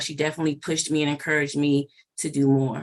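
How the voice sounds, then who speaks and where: A woman with an American accent and a very deep, low pitch, speaking very fast against a quiet background. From Maryland, Prince George's County. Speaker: animal welfare program manager. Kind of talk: interview.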